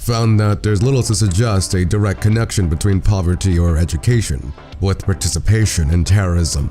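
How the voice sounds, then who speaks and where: Music plays in the background as a man with a very deep, low voice talks at a fairly quick pace, with hardly any pauses, very even loudness and ordinary pitch variation. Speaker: political video essayist. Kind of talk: video essay narration.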